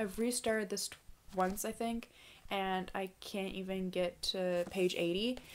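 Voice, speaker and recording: Speaking at a very slow pace, a woman keeps a medium pitch in a monotone, flat delivery. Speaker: booktuber. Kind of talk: casual vlog talk. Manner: hesitant with fillers.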